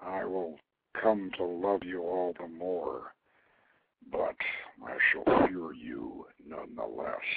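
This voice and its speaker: Growling in a put-on character voice, a man with a very deep, low pitch speaks at a fairly slow pace with long, frequent pauses. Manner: tender, solemn.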